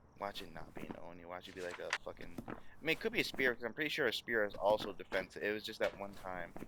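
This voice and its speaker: A man talks at a very fast pace. His fairly low voice has a bright, sharp tone. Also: ordinary pitch variation, big swings in loudness. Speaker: gaming video creator. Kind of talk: gameplay commentary. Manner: animated.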